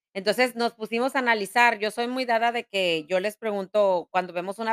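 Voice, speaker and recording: Recorded dry and close with no echo, a woman speaks at a moderate pace with ordinary pitch variation. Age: 40s. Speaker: podcast host. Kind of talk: casual chat; motivational talk. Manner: halting.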